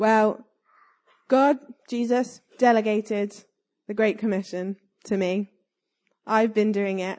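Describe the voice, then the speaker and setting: Speaking at a very slow pace with long, frequent pauses, a woman talks in a southern English accent. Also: fairly high pitch for a woman. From southern England. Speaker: church youth leader. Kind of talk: sermon. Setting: church. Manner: animated.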